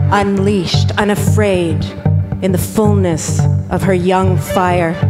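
A woman at a very slow pace over loud background noise. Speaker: poet and spoken word performer. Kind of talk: poetry reading over music. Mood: passionate, grieving. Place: stage. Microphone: handheld.

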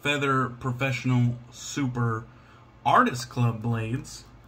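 A man with an American accent speaks at a very slow pace in a somewhat breathy voice, with light background noise. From Washington State, US. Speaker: YouTuber reviewing shaving products. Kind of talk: casual unboxing vlog. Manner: relaxed, with frequent fillers. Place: home room. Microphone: phone near.

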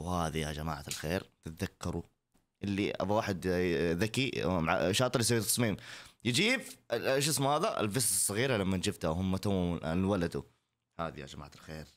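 A man with a very deep, low voice speaks at a moderate pace, his intonation lively and his tone animated. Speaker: content creator reacting to TikTok videos. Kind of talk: casual reaction video. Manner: loud. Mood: playful, joking. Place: home room. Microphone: studio mic.

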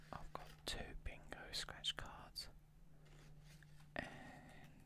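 Someone is whispering. The pace is very slow. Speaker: ASMR creator. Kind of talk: ASMR video, soft-spoken commentary while scratching lottery cards. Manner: soft-spoken. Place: home room.

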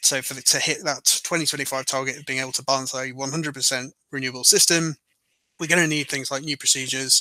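Speaking with a British accent, a man delivers fairly quick lines in a bright, sharp, enthusiastic tone with big swings in loudness. The sound is dry with no echo, and the background is quiet. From UK. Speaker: energy market analyst. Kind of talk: interview. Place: home room. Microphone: headset.

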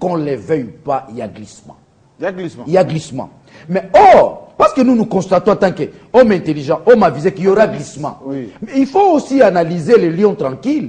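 A man talks at a fairly quick pace with very wide pitch swings and big swings in loudness. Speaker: guest, newspaper editor. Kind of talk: heated debate argument. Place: studio.

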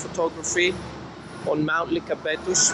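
Moderate pace under loud background noise. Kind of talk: casual vlog chat. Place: street. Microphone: phone near.

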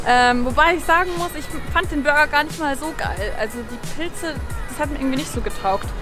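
Clear music plays behind a woman's voice. She speaks very fast in a high pitch. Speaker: vlogger. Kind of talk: casual vlog chat.

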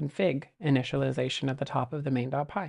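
Against a quiet background, a woman speaks at a moderate pace. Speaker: presenter. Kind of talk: tutorial. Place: home room.

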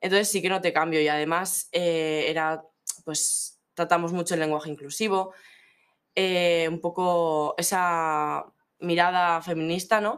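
Monotone, flat intonation at a fairly slow pace. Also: woman, fairly low pitch for a woman. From Navarre, Spain (La Ribera area). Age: young. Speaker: student. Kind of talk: interview. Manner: halting, many fillers and repeated words.

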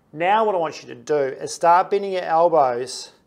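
The background is quiet. A man speaks with ordinary pitch variation. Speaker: fitness coach or physio. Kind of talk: tutorial. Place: gym.

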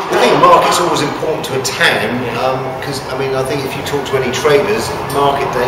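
Loud background noise and audible room echo surround a man talking at a very fast pace. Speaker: livestock auctioneer. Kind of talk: interview answer. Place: hall.

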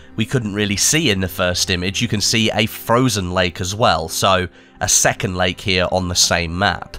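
A man speaks at a moderate pace with ordinary pitch variation. Music plays in the background. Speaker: gaming YouTuber. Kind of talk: gaming news commentary.

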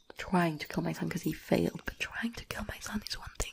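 Soft-spoken and somewhat breathy, the voice has a dark, mellow tone. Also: woman. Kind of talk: soft-spoken roleplay chat to viewer. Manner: soft close-mic ASMR roleplay voice. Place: home room. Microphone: studio mic.

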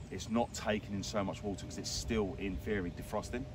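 A man talks at a fairly quick pace in a very deep, low pitch. The sound is dry with no echo, and there is noticeable background noise. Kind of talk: interview answer. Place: waterside.

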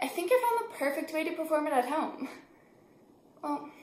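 A woman's voice with audible room echo. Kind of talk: casual vlog chat. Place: home room. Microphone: phone near.

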